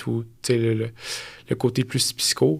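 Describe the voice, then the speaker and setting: On a very clean recording with complete silence behind it, the words come very slowly. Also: man. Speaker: fitness coach. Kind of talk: casual chat.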